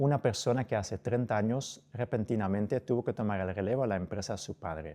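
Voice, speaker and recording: A man speaks at medium pitch and a moderate pace, his tone dark and mellow. His pitch varies in an ordinary way against a quiet background. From outside Spain. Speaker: podcast host. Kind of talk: interview.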